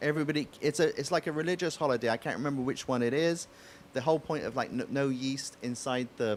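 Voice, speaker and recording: Speech comes at a very fast pace in an English accent. The pitch variation is ordinary. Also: man, fairly high pitch for a man. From England, West Country (Bristol area). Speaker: crepe shop owner. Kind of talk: accent demonstration; casual chat. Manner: halting.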